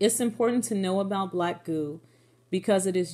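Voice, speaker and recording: A woman speaks in a dark, mellow tone. The recording is very clean, with a silent background. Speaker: religious video blogger. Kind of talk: Bible study talk, partly read from notes. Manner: monotone when reading notes; repeats words, self-corrects.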